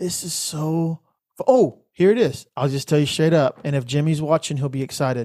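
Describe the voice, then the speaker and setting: With an American accent, a man speaks at a moderate pace in a dark, mellow tone, fairly high in pitch with ordinary variation, the sound dry and close with no echo. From Texas, Richmond-Rosenberg area near Houston. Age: 40s. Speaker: musician and church ministry leader. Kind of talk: casual interview chat. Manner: halting, repeats words.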